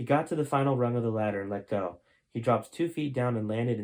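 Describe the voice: Someone reads aloud plainly, the pitch shifting in an ordinary way.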